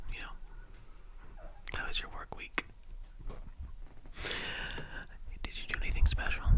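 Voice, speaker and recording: The speaker is whispering, with long, frequent pauses. Noticeable background noise can be heard. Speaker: ASMR creator. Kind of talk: ASMR soft-spoken rambling to camera. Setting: studio microphone, ear to ear binaural recording. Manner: soft-spoken, whispering, relaxing.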